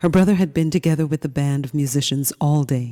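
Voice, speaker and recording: A soft-spoken woman with a very deep, low pitch, a dark, mellow tone and a calm, soothing tone, ordinary pitch variation, dry, close sound with no echo, and a very clean recording with a silent background. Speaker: audiobook narrator. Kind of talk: audiobook reading. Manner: calm, soothing, soft-spoken.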